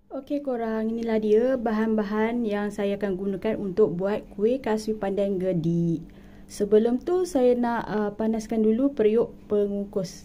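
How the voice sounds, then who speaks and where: With a Malaysian accent, a woman speaks at a fairly slow pace with hardly any pauses. Her fairly high pitch shows ordinary variation. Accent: Malaysian Malay. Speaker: cooking vlogger. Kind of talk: cooking tutorial.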